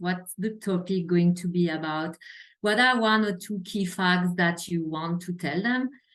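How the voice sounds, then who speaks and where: Against a quiet background, a woman with a slight French accent speaks fairly slowly at a medium pitch, her intonation fairly even. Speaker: healthcare quality executive. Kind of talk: interview.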